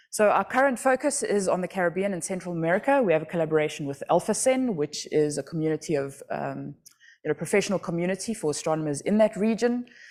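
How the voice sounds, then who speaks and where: Against a silent background on a very clean recording, a woman with a South African accent talks very fast at a medium pitch with lively intonation. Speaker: astronomy outreach project director. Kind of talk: conference talk. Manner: conversational, many fillers.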